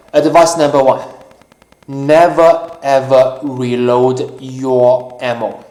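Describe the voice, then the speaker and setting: There is audible room echo as a man speaks at a very slow pace. His pitch is medium and his intonation fairly even. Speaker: YouTuber, gun owner. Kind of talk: casual talk-show monologue. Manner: halting, many fillers.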